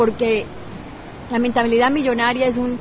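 A woman speaks at a moderate pace with a fairly high pitch. Audible room echo and noticeable background noise come through. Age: 30s. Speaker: parenting coach and blogger. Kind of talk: interview. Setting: hotel lobby at a conference.

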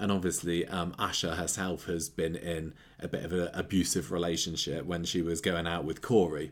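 His pitch is very deep and low. The man's intonation stays fairly even. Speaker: podcast host. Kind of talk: casual chat.

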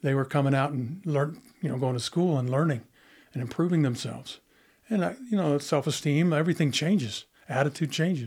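With an American accent, a man speaks at a fairly quick pace in a fairly high pitch, somewhat breathy, with ordinary pitch variation and very even loudness on a very clean recording with a silent background. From Utah, Monticello. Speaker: retired prison school principal. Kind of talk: interview. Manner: halting.

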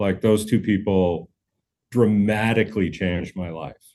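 Against a quiet background, a man speaks with a Canadian accent. His pitch is fairly low, with ordinary variation. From Canada, Manitoba (Brandon). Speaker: session drummer. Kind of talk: casual interview chat.

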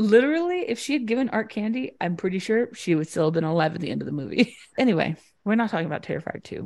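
At a very fast pace, a woman talks in an animated tone with lively intonation and a somewhat breathy edge, on a very clean recording with a silent background. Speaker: podcast host. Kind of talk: casual true crime chat with storytelling. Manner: animated, joking.

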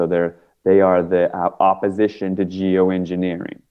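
A man with an American accent speaks in a very deep, low voice with monotone, flat intonation. Music plays in the background. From Washington, D.C. area. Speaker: film producer and activist. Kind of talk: casual interview.

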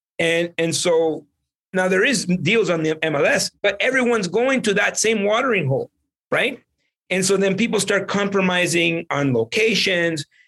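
This man has a high pitch, an energetic, bright and sharp tone, ordinary pitch variation, very even loudness, and a moderate pace. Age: 40s. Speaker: real estate investor. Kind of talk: interview.

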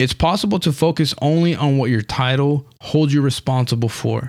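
At a moderate pace, a man with an ordinary speaking voice talks at a fairly high pitch with ordinary pitch variation, on a very clean recording with a silent background. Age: 30s. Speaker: podcast host and preacher. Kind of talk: solo motivational podcast monologue. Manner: earnest, encouraging.

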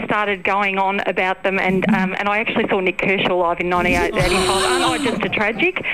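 A woman of medium pitch speaks at a moderate pace with fairly even intonation, very even loudness and hardly any pauses, over noticeable background noise. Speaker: radio caller. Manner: confident, chatty, playfully argumentative.

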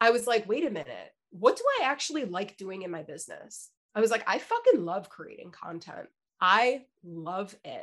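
Big swings in loudness run through a woman's speech at a moderate pace. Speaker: podcast co-host, business strategist. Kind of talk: casual chat. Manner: stumbling over words.

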